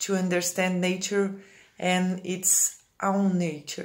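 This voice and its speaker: With audible room echo, a woman speaks very slowly at a medium pitch in a monotone, flat intonation. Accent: Brazilian Portuguese. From Brazil. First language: Portuguese. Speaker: Ayurvedic practitioner. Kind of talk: reading aloud. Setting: pre-recorded video.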